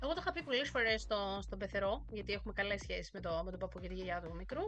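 A woman is speaking. Her pace is fairly quick. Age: 40s. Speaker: language teacher. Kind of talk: casual chat.

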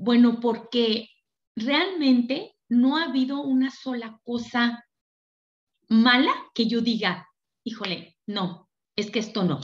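A woman at a fairly high pitch, speaking at a very slow pace with long, frequent pauses. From Mexico, Durango. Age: 50s. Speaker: network marketing leader. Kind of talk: motivational seminar talk.

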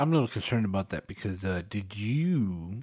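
A man speaks at a moderate pace in a normal speaking voice. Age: 40s. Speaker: podcast co-host. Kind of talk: casual chat.

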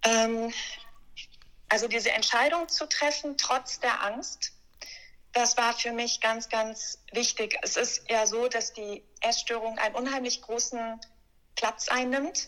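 A woman with a bright, sharp tone and fairly high pitch speaks at a very slow pace, with fairly even intonation and long, frequent pauses. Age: 30s. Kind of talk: interview, personal testimony.

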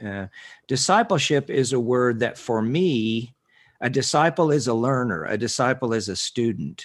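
Speaking at a moderate pace, a man uses medium pitch with ordinary pitch variation. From rural Kansas, US (some boyhood in Northwest Texas). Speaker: minister and ministry director. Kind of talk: interview. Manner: measured, with frequent fillers.

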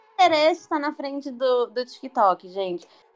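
A woman speaks in a plain, everyday voice. Her intonation is lively and her pace moderate. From Santos, Brazil. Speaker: podcast guest, sales worker. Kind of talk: casual chat.

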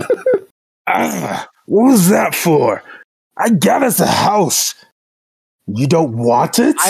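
A put-on character voice at a middle pitch, delivered at a very slow pace. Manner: cheerful, dim, defensive.

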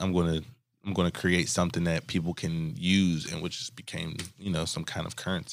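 On a very clean recording with a silent background, a man with an American accent speaks fairly quickly in a very deep, low, monotone, flat voice. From Oxon Hill, Maryland (DC area). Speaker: podcast co-host, investor. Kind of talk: casual chat.

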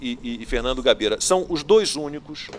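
An unremarkable speaking voice from a man, fairly high in pitch, with lively intonation at a fairly slow pace. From Rio de Janeiro. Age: 50s. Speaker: TV news anchor. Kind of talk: news talk show.

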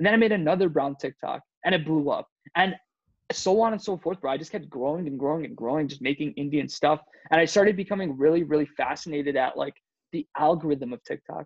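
Very fast speech from a man with an American accent, fairly high in pitch for a man, with ordinary pitch variation. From Michigan, US Midwest (also Iowa and Amsterdam). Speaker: TikTok creator and actor. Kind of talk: casual chat. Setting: video call.

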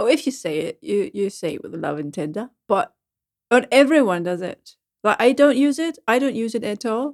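With vocal fry and a fairly high pitch, a woman talks at a moderate pace using very wide pitch swings and big swings in loudness, the sound dry and close with no echo. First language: German. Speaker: radio presenter. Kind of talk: casual chat.

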